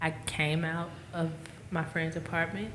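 Speaking at a fairly slow pace, a woman with a fairly low voice comes through with audible room echo and noticeable background noise. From Mississippi. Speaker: musician. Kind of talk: casual chat.

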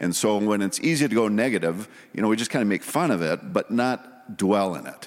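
Speaking at a moderate pace, a man has an unremarkable speaking voice with ordinary pitch variation. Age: 50s. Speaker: car sales consultant. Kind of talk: live testimony on stage.

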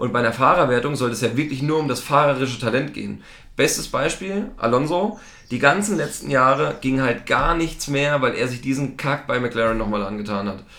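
Lively intonation and a bright, sharp tone mark this man's medium-pitched voice. He speaks at a fairly quick pace amid audible room echo. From eastern Germany. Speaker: sports podcast co-host. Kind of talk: casual chat.

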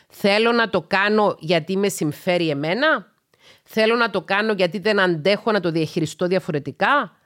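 A woman's plain, everyday voice at medium pitch, with ordinary pitch variation, very even loudness and a moderate pace. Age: 40s. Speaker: psychologist. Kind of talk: solo podcast monologue.

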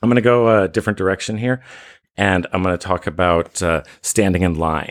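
A man with a very deep, low pitch and an American accent, at a fairly quick pace with ordinary pitch variation. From Vermont, US. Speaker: travel podcast host. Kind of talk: casual chat. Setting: video call.

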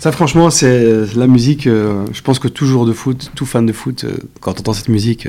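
This voice has a dark, mellow tone. It keeps a moderate pace. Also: man, medium pitch for a man, ordinary pitch variation. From Belgium. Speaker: actor. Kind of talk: casual chat.

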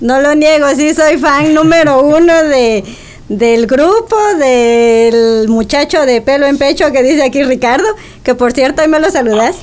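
At a fairly slow pace, a woman speaks with a high pitch, ordinary pitch variation and very even loudness. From Quetzaltenango, Guatemala. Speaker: radio host. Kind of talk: radio interview. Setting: radio studio.

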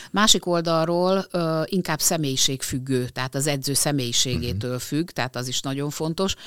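A woman speaks at a very deep, low pitch on a very clean recording with a silent background. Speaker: sports psychologist, university department head. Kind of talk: interview. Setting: studio.

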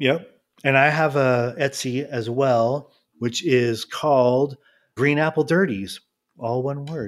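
A man's fairly high-pitched voice at a very slow pace, with fairly even intonation, on a very clean recording with a silent background. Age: 40s. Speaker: podcast host and illustrator. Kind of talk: casual chat.

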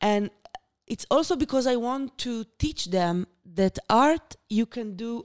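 Speaking at a fairly slow pace with an Israeli accent, a woman uses ordinary pitch variation on a very clean recording with a silent background. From Israel, Beersheba. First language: Hebrew. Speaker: artist and art therapist. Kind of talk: interview conversation. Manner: halting.

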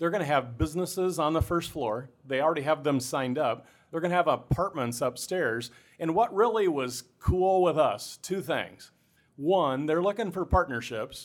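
With a Midwestern American accent, a man of fairly high pitch talks at a moderate pace with lively intonation. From Southwest Iowa. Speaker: state economic development specialist, former city council member. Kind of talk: interview.

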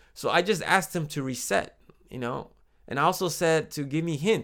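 An ordinary speaking voice with an American accent moves at a fairly quick pace with lively intonation in a very clean recording with a silent background. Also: man. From USA. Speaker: podcast host. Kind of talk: casual monologue storytelling. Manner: conversational, with false starts.

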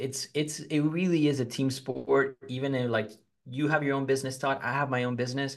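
A man speaks in a medium pitch at a moderate pace. His intonation is monotone and flat. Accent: Spanish. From Mexico, Monterrey. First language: Spanish. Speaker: real estate investor. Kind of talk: interview.

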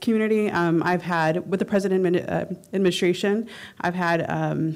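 On a very clean recording with a silent background, a woman with a normal speaking voice talks fairly slowly at medium pitch, with fairly even intonation. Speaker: oral historian audience member. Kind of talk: conference panel Q&A.

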